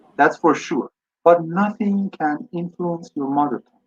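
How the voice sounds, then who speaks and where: A man speaks with a high voice at a fairly slow pace. His intonation is lively, and the sound is dry and close with no echo. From Iran. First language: Persian. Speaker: English teacher and scholar. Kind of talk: webinar Q&A answer.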